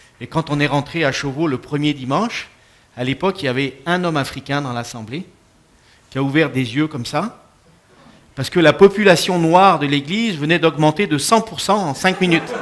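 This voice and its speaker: A fairly high male voice with a slight Quebec accent, moderate in pace and ordinary in pitch variation, broken by long, frequent pauses. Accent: French, slightly Quebec-tinged. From France. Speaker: pastor. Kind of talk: talk to an audience. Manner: hesitant, many fillers.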